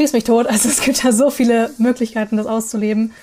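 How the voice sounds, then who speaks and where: A woman speaks at a fairly quick pace in a high pitch with a dark, mellow tone. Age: 20s. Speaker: polyamory content creator. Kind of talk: casual interview. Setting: video call.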